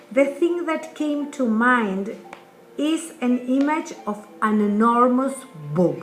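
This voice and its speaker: Over noticeable background noise, a woman with a non-native accent speaks at a very slow pace. Her voice is high in pitch, with lively intonation. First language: not English. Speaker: artist. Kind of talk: reading aloud.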